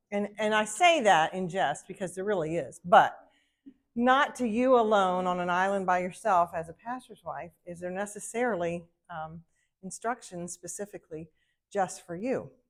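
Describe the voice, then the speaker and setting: In an American accent, a woman of medium pitch speaks at a moderate pace, her pitch varying in an ordinary way while her loudness swings widely. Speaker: ministry wife, conference speaker. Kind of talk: talk to women's group. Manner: casual, heartfelt.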